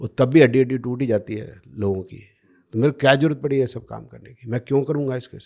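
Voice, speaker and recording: This man talks at a medium pitch with a dark, mellow tone and ordinary pitch variation. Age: 60s. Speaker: podcast guest, astrology critic. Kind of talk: podcast interview. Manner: animated.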